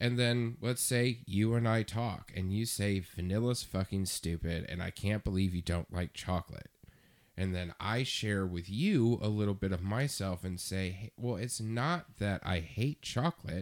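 Heard dry and close with no echo in a very clean recording with a silent background, a man has a normal speaking voice, fairly low pitch, a moderate pace and ordinary pitch variation. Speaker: podcast co-host. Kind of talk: casual chat.

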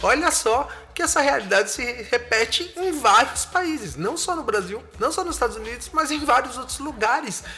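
Raising and projecting his voice at an extremely high pitch, a man speaks through noticeable background noise. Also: lively intonation, moderate pace. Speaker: podcast host. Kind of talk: casual monologue analyzing song lyrics. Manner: animated.

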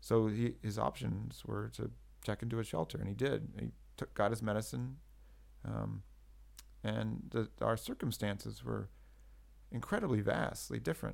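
A man with a very deep, low voice and vocal fry speaks at a moderate pace with very wide pitch swings. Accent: American. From California. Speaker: editor and writer. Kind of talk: interview. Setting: in Bucharest. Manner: halting.

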